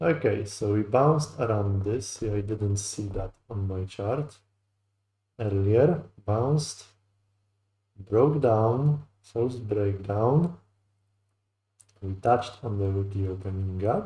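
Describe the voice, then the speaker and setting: A man with a fairly low pitch and a dark, mellow, somewhat breathy tone speaks at a very slow pace with ordinary pitch variation and long, frequent pauses. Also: very clean recording, silent background. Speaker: futures day trader streaming live. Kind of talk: live trading commentary, thinking aloud. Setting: live stream.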